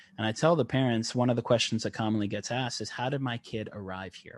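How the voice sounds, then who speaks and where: Over a quiet background, a man with an American accent talks at a medium pitch with ordinary pitch variation. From South Africa, raised later in Northeast Tennessee. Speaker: functional neurologist. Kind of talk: podcast interview.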